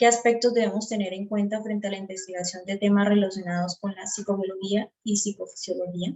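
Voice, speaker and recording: A woman's somewhat breathy voice at medium pitch, with monotone, flat intonation. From Colombia, Santander. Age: 20s. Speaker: psychology student. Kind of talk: class presentation. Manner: hesitant.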